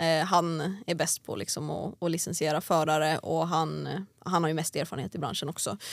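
Her voice is a very deep, low pitch for a woman, with vocal fry, fairly even intonation and a moderate pace. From Sweden, Järfälla near Stockholm, then Åland from age 12. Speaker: drag racing driver. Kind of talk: casual interview chat. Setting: studio.

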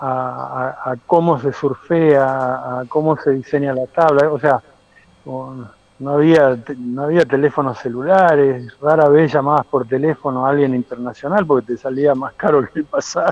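A man with a fairly high pitch and fairly even intonation talks at a moderate pace through noticeable background noise. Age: 50s. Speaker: surfer and surf school founder. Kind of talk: casual interview.

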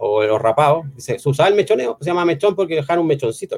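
A somewhat breathy man talks very fast with a Chilean accent and ordinary pitch variation, recorded in a dry, close sound with no echo. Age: 50s. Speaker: IT college teacher. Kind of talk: casual interview chat.

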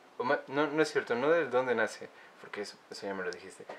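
A man speaks at medium pitch. Noticeable background noise runs under his voice. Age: 20s. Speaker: podcast host, musician. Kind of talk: casual chat.

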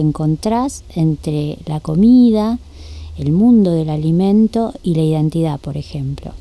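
A woman's dark, mellow voice, fairly low in pitch, with a Rioplatense accent. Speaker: radio host. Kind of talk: interview. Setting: studio.

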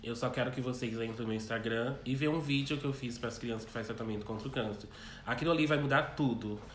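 In a room with audible echo, a man with a medium pitch and a somewhat breathy voice talks at a very fast pace with fairly even intonation. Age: 20s. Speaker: drag queen, pageant contestant. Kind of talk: interview. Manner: calm.

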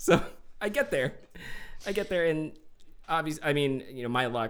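A man's fairly high-pitched voice moves with lively intonation against noticeable background noise.

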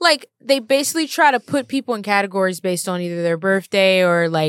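A woman at a very fast pace and medium pitch, lively in intonation, in a dry, close sound with no echo on a very clean recording with a silent background. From Louisiana, Baton Rouge. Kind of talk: casual chat.

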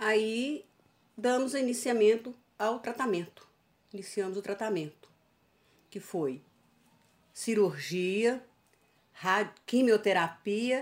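A woman's fairly high-pitched voice at a very slow pace, with ordinary pitch variation and long, frequent pauses. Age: 60s. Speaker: cancer survivor. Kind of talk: interview, personal testimony.

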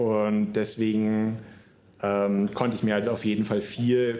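Dark and mellow in tone, the voice holds a monotone, flat intonation. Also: man. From northern Germany, near Hamburg. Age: 20s. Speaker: podcaster. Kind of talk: solo podcast monologue. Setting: solo podcast recording. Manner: casual, many fillers.

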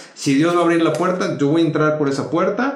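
Amid noticeable background noise and audible room echo, a man talks at a very fast pace in a high pitch. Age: 30s. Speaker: dentist and youth pastor. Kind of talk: casual interview chat.

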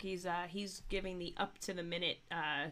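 A raspy, fairly bright woman's voice at a fairly low pitch, with fairly even intonation and a moderate pace

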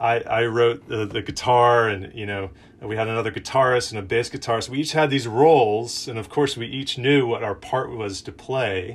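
A man with a plain, everyday voice speaks at a moderate pace with fairly even intonation. He leaves hardly any pauses. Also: medium pitch for a man. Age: 30s. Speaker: campus minister / preacher. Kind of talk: sermon. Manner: casual, conversational with fillers.

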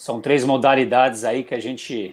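In a very clean recording with a silent background, a man talks at a fairly slow pace. He has a plain, everyday voice at a medium pitch. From Brazil, São Paulo state. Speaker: amateur triathlete. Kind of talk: casual chat.

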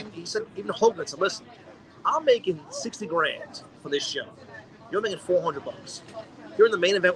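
Against noticeable background noise, a man talks at a fairly quick pace with big swings in loudness and long, frequent pauses. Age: 40s. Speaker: podcast co-host. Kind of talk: casual chat.

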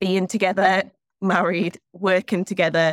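In a Geordie accent, a woman with a fairly low pitch speaks at a fairly slow pace with fairly even intonation, the sound dry and close with no echo.

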